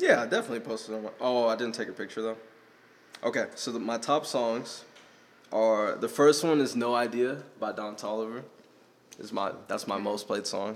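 A man's unremarkable speaking voice, medium in pitch, at a moderate pace with fairly even intonation. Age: young. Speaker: podcast host. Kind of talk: casual chat.

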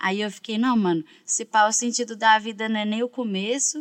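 At a moderate pace, a woman speaks in an ordinary speaking voice at medium pitch. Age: 20s. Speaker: rapper and songwriter. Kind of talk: casual chat.

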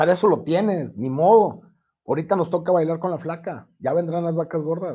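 A man speaks with a Mexican accent at a high pitch. His tone is dark and mellow, and his intonation is fairly even. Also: moderate pace. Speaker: insurance agent. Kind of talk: casual chat.

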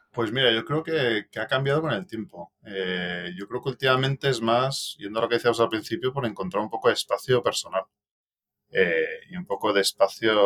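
It's a normal speaking voice at a moderate pace with lively intonation, recorded dry and close with no echo. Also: man, medium pitch for a man. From Madrid, Spain, raised partly in Belgium. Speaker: venture capital investor. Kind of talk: casual interview.

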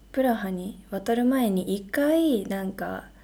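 A woman speaks very slowly in a dark, mellow tone with lively intonation. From Shizuoka, Japan. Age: 20s. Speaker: medical student, podcast co-host. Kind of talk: casual chat.

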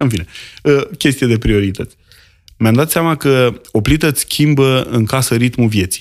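A man's ordinary speaking voice at a medium pitch, moderate in pace, with ordinary pitch variation and very even loudness. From rural Romania. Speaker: grocer and restaurateur. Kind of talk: casual chat.

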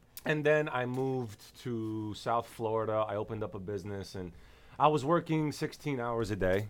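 A man talks at a moderate pace with ordinary pitch variation in a plain, everyday voice. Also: medium pitch for a man. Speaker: podcast co-host. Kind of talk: casual chat.

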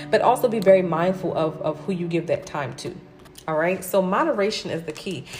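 With an animated tone, a woman talks at a fairly quick pace against noticeable background noise. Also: medium pitch for a woman, ordinary pitch variation. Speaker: spiritual podcast host, numerology and tarot reader. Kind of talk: casual solo podcast talk with tarot reading. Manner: animated, many filler words like okay and right.

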